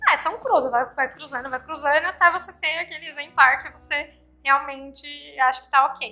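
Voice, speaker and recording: A woman's raised, projected voice, high-pitched with a bright, sharp tone, big swings in loudness, ordinary pitch variation and a moderate pace. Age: 30s. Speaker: pet influencer and podcaster. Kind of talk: interview chat. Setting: guesthouse.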